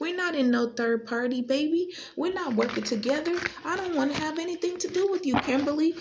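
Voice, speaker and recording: Over noticeable background noise, a woman talks in an animated tone with lively intonation. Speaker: tarot reader. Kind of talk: tarot reading monologue.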